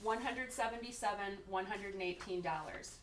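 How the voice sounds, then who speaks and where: A woman talks at a moderate pace. Her voice carries audible room echo. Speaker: insurance benefits consultant. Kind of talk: presentation to a city committee. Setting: council meeting room, standing away from table. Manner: loud.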